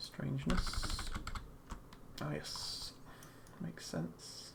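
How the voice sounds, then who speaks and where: Soft-spoken and very slow, the voice comes through noticeable background noise. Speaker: 3D artist streaming his work. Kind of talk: live stream tutorial-style commentary. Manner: halting, many fillers. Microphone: USB condenser mic, too quiet, close to keyboard.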